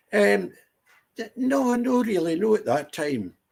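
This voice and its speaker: A man in a Scottish accent, with very wide pitch swings. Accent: Scottish (Ayrshire). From Scotland, Ayr. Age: 70s. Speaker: veteran entertainer. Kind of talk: interview.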